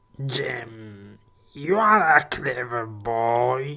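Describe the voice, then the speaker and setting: A man puts on a character voice at a medium pitch. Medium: audio drama. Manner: hearty, smooth.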